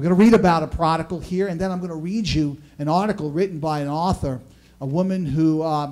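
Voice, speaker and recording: This man's voice sits at a high pitch with ordinary pitch variation. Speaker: pastor preaching. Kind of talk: sermon. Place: church.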